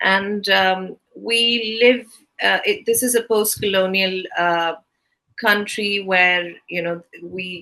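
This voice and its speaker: This woman has a Keralan accent and a medium pitch. Her tone is bright and sharp, her intonation fairly even, and her pace very slow. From southern India, Kerala. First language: Malayalam. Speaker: interviewer, theatre director. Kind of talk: interview. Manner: halting.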